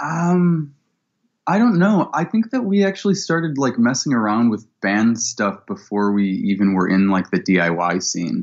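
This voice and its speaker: Keeping very even loudness, a man with a Midwestern American accent talks at a fairly slow pace, his medium pitch making very wide swings. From Ohio (Cleveland). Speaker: musician. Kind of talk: interview. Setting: video call.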